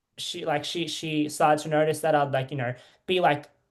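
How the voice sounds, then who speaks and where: A woman speaks with an Australian accent and a very deep, low pitch. The background is quiet. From Australia, Melbourne. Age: 20s. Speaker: reality TV contestant. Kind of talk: interview. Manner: halting.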